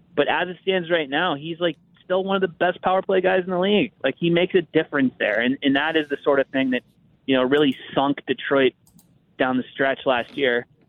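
A normal speaking voice, American accent, pitch rising and falling in an ordinary way. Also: man, fairly high pitch for a man, fairly quick pace. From US, Pittsburgh. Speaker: hockey writer. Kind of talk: casual chat.

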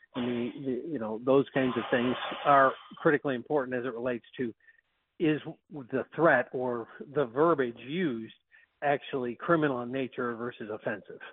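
A man's medium-pitched voice with an American accent, a moderate pace, fairly even intonation, and long, frequent pauses. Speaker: county sheriff. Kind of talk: radio interview.

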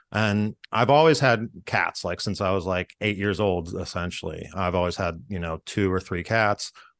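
A man speaks at a moderate pace with a very deep, low pitch, ordinary pitch variation and hardly any pauses, recorded dry and close with no echo against a quiet background. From Pittsburgh area, western Pennsylvania. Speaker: improviser. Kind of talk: casual chat, storytelling.

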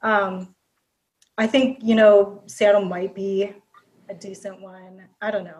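A woman's medium-pitched, somewhat breathy voice with an American accent, very slow in pace, with long, frequent pauses and big swings in loudness. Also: fairly even intonation. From Minnesota, Prior Lake. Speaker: sports fan. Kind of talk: casual chat.

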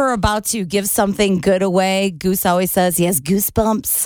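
A woman with an ordinary speaking voice, medium pitch, and a fairly quick pace. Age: 40s. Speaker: radio host. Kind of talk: casual chat.

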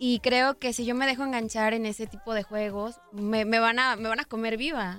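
Speaking at a moderate pace with hardly any pauses, a woman uses an unremarkable speaking voice. Her pitch sits fairly high, and her intonation stays fairly even. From Mexico, Guadalajara. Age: 20s. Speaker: pop singer. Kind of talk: interview.

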